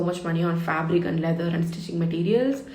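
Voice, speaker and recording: With a Tamil accent and a fairly low pitch, a woman speaks with fairly even intonation amid noticeable background noise and audible room echo. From India, Tamil Nadu (Thanjavur). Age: 20s. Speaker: beauty content creator. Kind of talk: casual chat while doing makeup. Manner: chatty, conversational.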